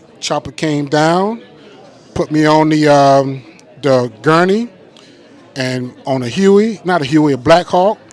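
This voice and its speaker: A man with a fairly high voice speaks at a very slow pace over noticeable background noise. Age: 60s. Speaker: war veteran. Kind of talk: testimony.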